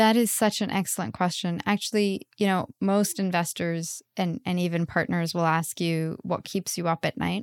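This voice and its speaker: With a fairly low pitch, a woman speaks at a moderate pace with hardly any pauses, in a dry, close sound with no echo. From Pakistan, then Canada. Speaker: biotech founder and geneticist. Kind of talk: interview. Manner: animated.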